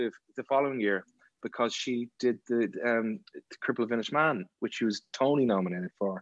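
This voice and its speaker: A man with an Irish accent at a moderate pace, in a dry, close sound with no echo. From Ireland. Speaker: actor. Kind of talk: casual chat.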